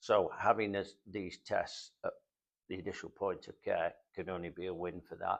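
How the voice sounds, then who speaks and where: A man with a Manchester accent at a moderate pace. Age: 70s. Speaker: heart patient, support group volunteer. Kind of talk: interview testimony. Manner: halting, many fillers.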